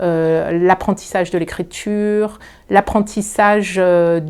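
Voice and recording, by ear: With fairly even intonation, a woman speaks at a medium pitch in a slightly mellow tone.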